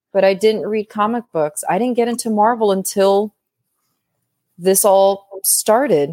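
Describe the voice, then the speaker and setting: Her voice has a dark, mellow tone. The woman's pitch sits in the middle range. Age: 30s. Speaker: podcast guest. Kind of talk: casual chat.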